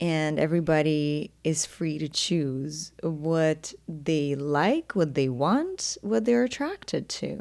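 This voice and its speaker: Very slow and with hardly any pauses, the speech carries a slight Ukrainian accent. Pitch varies in an ordinary way. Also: woman, very deep, low pitch for a woman. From Ukraine. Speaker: podcast host, intimacy coach. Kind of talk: solo podcast monologue.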